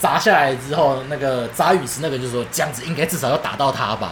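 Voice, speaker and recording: With lively intonation and a fairly high pitch, a man speaks at a fairly quick pace amid noticeable background noise and audible room echo. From Taiwan, Keelung. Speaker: podcast co-host. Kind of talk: casual chat.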